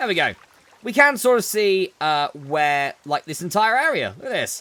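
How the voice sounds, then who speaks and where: A man speaks in a raised, projected voice at a high pitch. His pitch swings very widely at a moderate pace. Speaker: gaming video creator. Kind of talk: let's play commentary.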